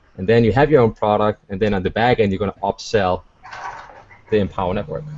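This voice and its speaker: Over noticeable background noise, a man with a non-native accent talks very fast at a fairly low pitch with ordinary pitch variation. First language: not English. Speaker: online marketer. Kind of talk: webinar panel discussion. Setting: video call.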